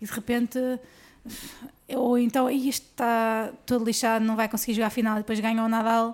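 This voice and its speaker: Pausing long and often, a woman speaks in a fairly high, monotone voice at very even loudness, on a very clean recording with a silent background. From northern Portugal, Guimarães. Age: 20s. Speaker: professional tennis player. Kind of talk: casual interview chat.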